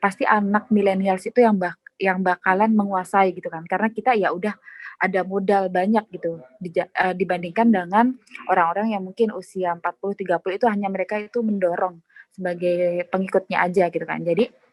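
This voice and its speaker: In a dry, close sound with no echo, a woman speaks very fast with monotone, flat intonation. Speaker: radio announcer. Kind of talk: interview. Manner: casual, filler-heavy.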